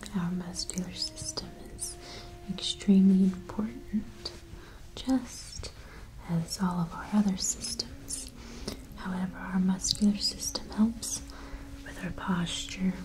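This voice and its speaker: Her pace is very slow, broken by long, frequent pauses. The woman's loudness swings widely, and background noise is noticeable. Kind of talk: soft-spoken relaxation roleplay. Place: home room.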